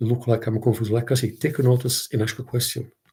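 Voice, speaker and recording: Speaking very fast, a man uses a medium-pitched, somewhat breathy voice with a dark, mellow tone. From southern Italy, Naples. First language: Italian. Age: 60s. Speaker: content creator. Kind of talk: casual livestream monologue. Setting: live stream. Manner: halting, repetitive.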